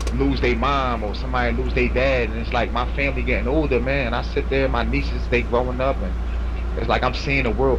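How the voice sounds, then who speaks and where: There is audible room echo. A man speaks in a monotone, flat intonation. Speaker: incarcerated man claiming innocence. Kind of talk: casual chat. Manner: quiet-spoken; halting.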